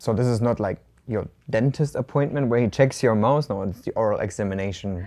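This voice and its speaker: A man's medium-pitched voice with a slight German accent, ordinary pitch variation and a fairly quick pace. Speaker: Chinese language video co-host. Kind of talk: language lesson dialogue. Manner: casual, conversational with hesitations.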